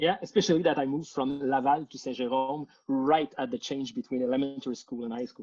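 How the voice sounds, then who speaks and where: Fairly quick, nearly pause-free speech in a Quebec accent, with big swings in loudness and ordinary pitch variation. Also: man, fairly high pitch for a man. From Quebec, Montreal area. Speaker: composer, conductor and music educator. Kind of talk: casual interview. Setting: Facebook Live video stream.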